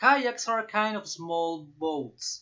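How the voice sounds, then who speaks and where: A Peruvian accent at a very slow pace. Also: man. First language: Spanish. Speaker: student vlogger. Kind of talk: class assignment presentation. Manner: halting, with fillers.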